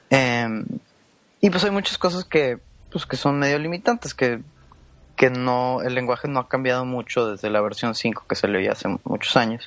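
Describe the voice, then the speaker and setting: A man speaks at a medium pitch and a moderate pace. His intonation is lively. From Mexico, Monterrey (Nuevo León). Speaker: software engineer. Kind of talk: podcast interview. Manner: halting.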